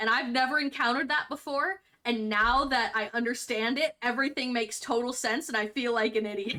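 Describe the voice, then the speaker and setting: In a West Virginia accent, a woman talks at a fairly quick pace and a high pitch with ordinary pitch variation, very even loudness and hardly any pauses. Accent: some West Virginia pronunciations from family. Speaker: streamer. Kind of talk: casual chat. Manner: halting with repetitions.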